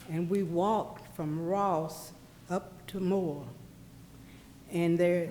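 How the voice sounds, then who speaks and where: Speaking very slowly with long, frequent pauses, a woman with an American accent uses a fairly low, dark, mellow voice and fairly even intonation, with audible room echo. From Tyler, East Texas. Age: 70s. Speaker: local resident. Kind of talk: public comment. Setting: public meeting room.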